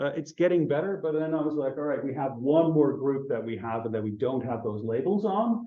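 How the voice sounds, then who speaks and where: This man has a fairly high pitch and a dark, mellow tone. His intonation is lively, and audible room echo surrounds him. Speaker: astronomy researcher giving a talk. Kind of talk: conference talk. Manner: hesitant, many fillers.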